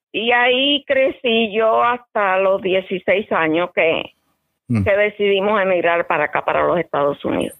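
At a fairly slow pace, a woman with a medium pitch speaks with lively intonation and very even loudness. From eastern Cuba (Bayamo). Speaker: interview guest, caregiver. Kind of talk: casual interview.

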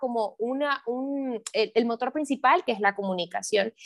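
This woman has a high-pitched voice and a moderate pace. The sound is dry and close, with no echo. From Santa Ana. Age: 20s. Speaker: entrepreneur and sales coach. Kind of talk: interview.

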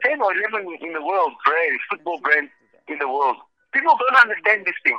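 A man speaks in a raised, projected voice at a fairly quick pace. The recording is dry and close, with no echo. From South Africa. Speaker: football referee. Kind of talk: interview. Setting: phone call.

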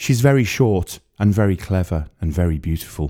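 In a very clean recording with a silent background, a man with a North Wales accent speaks in a very deep, low pitch. His tone is dark and mellow, and his intonation is lively. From North Wales, near the Wirral. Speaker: writer and narrator. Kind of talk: scripted narration.

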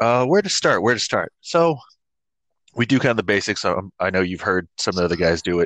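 A man speaks at a moderate pace against a quiet background, the sound dry and close with no echo. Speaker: podcast host. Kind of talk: casual chat.

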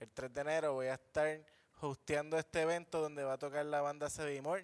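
A man talks at a fairly quick pace with a fairly high pitch. His intonation is monotone and flat, and the sound is dry and close with no echo. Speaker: comedian. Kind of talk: casual chat. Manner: soft-spoken.

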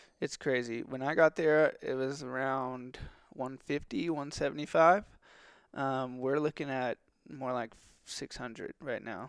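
A man with an American accent speaks in a plain, everyday voice at a medium pitch and fairly slow pace, his intonation fairly even and the sound dry and close with no echo on a very clean recording with a silent background. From Texas. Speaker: outdoor gear company marketer. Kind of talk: casual chat.

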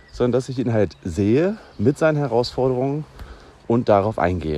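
A man with a medium pitch talks at a moderate pace. His intonation is lively, and there is noticeable background noise. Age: 40s. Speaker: podcast host and teacher. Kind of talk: casual solo podcast monologue.

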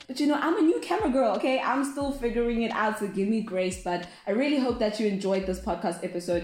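Racing at a very fast pace with hardly any pauses, a woman uses a fairly high pitch and lively intonation over noticeable background noise. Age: 20s. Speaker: podcast host. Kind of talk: casual chat.

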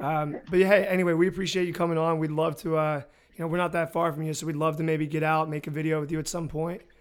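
In an American accent, a man rattles along at a very fast pace with a fairly high pitch and monotone, flat intonation. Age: 20s. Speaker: podcast host, lacrosse coach. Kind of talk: casual chat; scripted narration.

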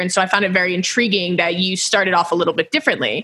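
Speaking very fast with an American accent, a woman has a bright, sharp tone. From Houston, Texas. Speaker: podcast host. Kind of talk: interview.

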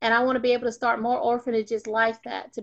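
A woman with an Alabama accent talks at a very fast pace in a fairly high pitch with monotone, flat intonation against a quiet background. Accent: Southern US (Alabama). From US South, North Alabama. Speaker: magazine publisher. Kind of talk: interview.

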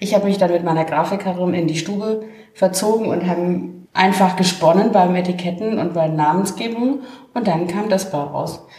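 With noticeable background noise and audible room echo, a woman speaks at a medium pitch and moderate pace with fairly even intonation. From Franconia, Germany (Main valley near Würzburg). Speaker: wine project founder. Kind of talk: casual chat. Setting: at a winery during a tasting.

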